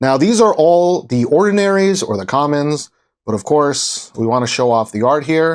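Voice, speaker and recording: Moving at a fairly slow pace, a man speaks with very wide pitch swings. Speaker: TCG unboxing YouTuber. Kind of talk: unboxing video commentary. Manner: casual, filler-heavy with ums and uhs.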